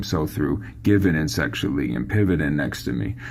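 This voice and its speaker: A man with lively intonation, audible room echo around him. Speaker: songwriting coach. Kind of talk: tutorial. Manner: casual.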